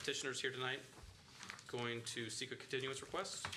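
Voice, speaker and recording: Words come at a very fast pace through audible room echo and noticeable background noise. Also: man. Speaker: board chair. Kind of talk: public meeting.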